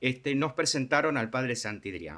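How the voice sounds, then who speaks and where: A man speaks in a bright, sharp tone over a silent background on a very clean recording. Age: 60s. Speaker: charity volunteer for homeless people. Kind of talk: interview. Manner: halting, many fillers.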